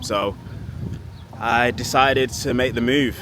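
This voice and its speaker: There is noticeable background noise as a man talks with a Manchester accent. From Manchester, northern England. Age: 20s. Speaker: vlogger and fitness coach. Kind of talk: casual vlog monologue.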